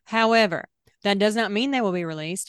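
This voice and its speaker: A woman with a Southern US accent speaks with ordinary pitch variation, recorded dry and close with no echo over a quiet background. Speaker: podcast co-host. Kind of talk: casual chat.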